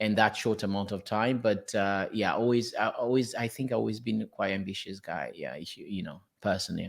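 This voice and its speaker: A man with a Portuguese accent talks at a fairly quick pace with hardly any pauses. The recording is very clean, its background silent. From Portugal. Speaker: property investor. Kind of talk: interview. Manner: halting.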